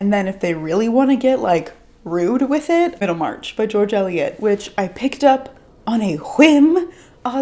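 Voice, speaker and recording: A woman with a fairly high pitch and lively intonation, at a moderate pace, over noticeable background noise. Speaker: book youtuber. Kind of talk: casual vlog talk.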